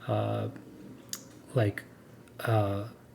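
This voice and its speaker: Somewhat breathy, this voice has a dark, mellow tone and an American accent. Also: man. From United States. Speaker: podcast co-host. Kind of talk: casual chat. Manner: halting, many repeated words and fillers.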